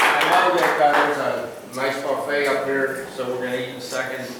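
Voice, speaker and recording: There is noticeable background noise and audible room echo. A man talks at a moderate pace and medium pitch. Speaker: birthday honoree. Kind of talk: birthday speech. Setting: party with guests. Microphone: speaking without microphone.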